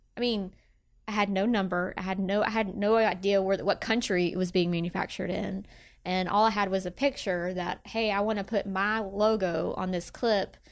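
In a Memphis accent, a woman speaks at a moderate pace with a medium pitch and fairly even intonation, captured in a very clean recording against a silent background. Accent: US Southern (Memphis). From Tennessee (Bartlett, Memphis area). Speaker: small business owner. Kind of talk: interview.

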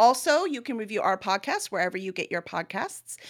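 A woman with an American accent speaks at a fairly quick pace with very wide pitch swings on a very clean recording with a silent background. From Chicago. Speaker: podcast host and publisher. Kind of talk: casual interview.

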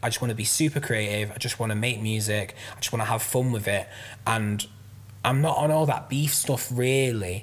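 The man's voice is somewhat breathy. He keeps a moderate pace. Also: medium pitch for a man, ordinary pitch variation. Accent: Mancunian. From south Manchester, England. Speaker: rapper and music producer. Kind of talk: casual chat.

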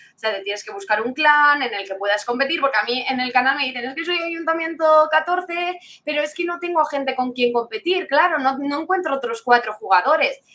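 A woman's high, raised and projected voice, bright and sharp in tone, at a fairly quick pace with lively intonation. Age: 20s. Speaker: esports caster and streamer. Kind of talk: interview.

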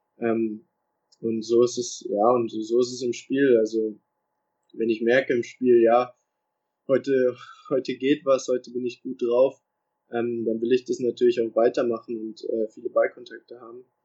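A man speaks with monotone, flat intonation. Long, frequent pauses break up his speech. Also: medium pitch for a man, moderate pace. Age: young. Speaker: professional footballer. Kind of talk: interview. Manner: halting.

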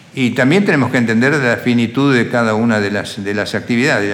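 A man in an Entre Ríos Argentine accent talks at a fairly quick pace, with audible room echo and noticeable background noise. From Argentina, Crespo, Entre Ríos. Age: 70s. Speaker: agribusiness entrepreneur. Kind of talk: interview life story.

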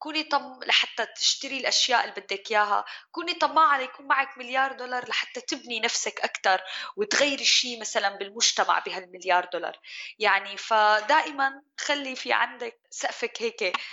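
A woman with a high voice talks at a moderate speed. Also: lively intonation. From Syria. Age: 30s. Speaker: chef and restaurant owner. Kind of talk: interview conversation.

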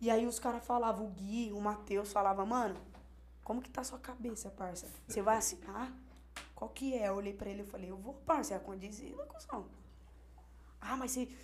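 A woman at a medium pitch, moderate pace and ordinary pitch variation, with big swings in loudness and audible room echo. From Hortolândia, interior of São Paulo state, Brazil. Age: 20s. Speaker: rapper. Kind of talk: casual chat.

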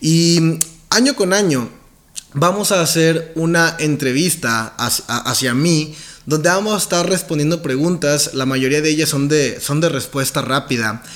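The man's pitch is fairly high, with ordinary variation. He speaks at a fairly slow pace. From Mexico, Nuevo León. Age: 20s. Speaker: podcast host, network marketing entrepreneur. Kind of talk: self-interview podcast monologue.

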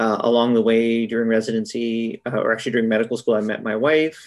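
The speaker talks at a fairly quick pace with a Canadian accent. It is a normal speaking voice. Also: man. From Manitoba, Canada (Brandon, Winnipeg). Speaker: critical care physician. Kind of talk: interview. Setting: video call.

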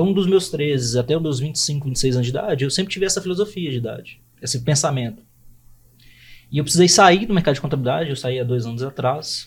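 A somewhat breathy, fairly high male voice at a very fast pace with lively intonation. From Brazil, Belo Horizonte. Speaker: accounting firm founder. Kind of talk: podcast interview.

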